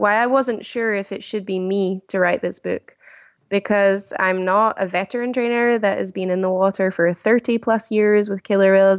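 Delivered at a moderate pace, this voice carries a Glasgow accent and fairly even intonation. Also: woman. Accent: Scottish (Glasgow area). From Scotland, village near Glasgow. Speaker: killer whale trainer and author. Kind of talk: interview. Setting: remote call.

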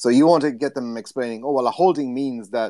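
A man speaks in an Irish accent at medium pitch, with a dark, mellow tone. His intonation is lively and his pace fairly quick. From Ireland. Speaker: sports journalist. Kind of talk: casual chat.

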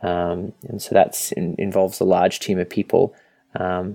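In an Australian accent, a man is talking. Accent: Australian, non-rhotic. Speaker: software product manager. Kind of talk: interview. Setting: Skype call.

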